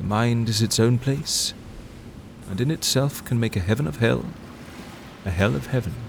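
At a moderate pace and a medium pitch, a man speaks with lively intonation and a somewhat breathy sound, leaving long, frequent pauses. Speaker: fictional character narrator. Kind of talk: scripted fiction, epistolary letter narration. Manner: intimate, wistful, musing; wry, animated, self-correcting.

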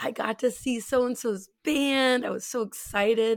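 A woman speaks with a West Coast US accent on a very clean recording with a silent background. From US Pacific Northwest (Spokane, Washington). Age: 30s. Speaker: singer and performer. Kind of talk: casual chat.

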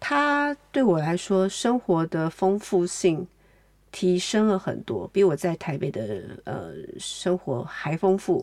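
In a plain, everyday voice, a woman speaks at medium pitch with lively intonation on a very clean recording with a silent background. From Taiwan. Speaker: novelist, artist and art educator. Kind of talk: interview conversation.

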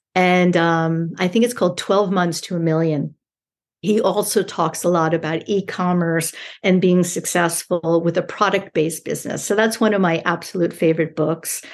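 A woman speaks in a plain, everyday voice with an American accent, fairly low pitch, fairly even intonation and a moderate pace against a quiet background. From New York. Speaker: e-commerce brand owner. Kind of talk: interview.

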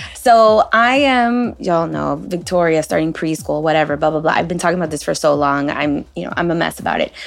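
A woman speaks at a fairly quick pace with hardly any pauses, in a very deep, low pitch. Music plays in the background. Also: lively intonation. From United States. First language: Spanish. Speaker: podcast host. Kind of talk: casual chat, podcast interview.

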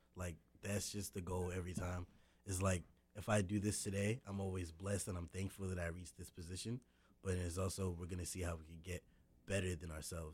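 On a very clean recording with a silent background, a man with an American accent speaks fairly quickly in a very deep, low, somewhat breathy voice with fairly even intonation. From US South, North Carolina. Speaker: rapper. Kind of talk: radio interview, casual chat. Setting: radio studio.

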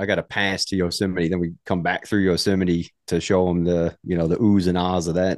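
Against a quiet background, a man with an American accent talks fairly quickly in a very deep, low pitch with monotone, flat intonation. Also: dry, close sound with no echo. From US South, Mississippi. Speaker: army veteran and outdoor gear YouTuber. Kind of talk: casual interview chat. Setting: studio.

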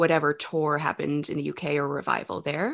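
Against a quiet background, a woman with vocal fry speaks at a moderate pace in an animated, enthusiastic tone. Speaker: actress and singer. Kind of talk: casual chat about a film. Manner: animated, enthusiastic, laughs often.

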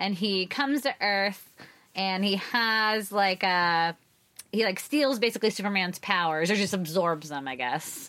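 A loud woman at a fairly slow pace, lively in intonation and bright, sharp in tone, in a very clean recording with a silent background. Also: medium pitch for a woman. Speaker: comics podcast co-host. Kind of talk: casual chat.

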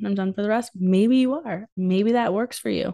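Very fast and fairly high in pitch, a woman's voice has a dark, mellow tone. The sound is dry and close with no echo, over a quiet background. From New England. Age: 30s. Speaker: podcast host and business coach. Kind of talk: solo podcast monologue. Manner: animated.

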